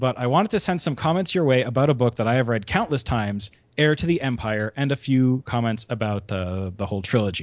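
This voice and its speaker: At a fairly quick pace, a man uses an ordinary speaking voice with medium pitch and lively intonation. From Canada. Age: 30s. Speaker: podcast host. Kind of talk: casual chat.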